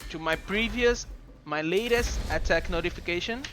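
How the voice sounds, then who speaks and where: Over music in the background, a man with a non-native accent talks at a fairly slow pace with lively intonation. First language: not English. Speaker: gaming YouTuber. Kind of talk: tutorial. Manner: halting.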